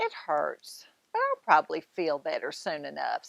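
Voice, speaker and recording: A woman's put-on character voice at a moderate pace. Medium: read story.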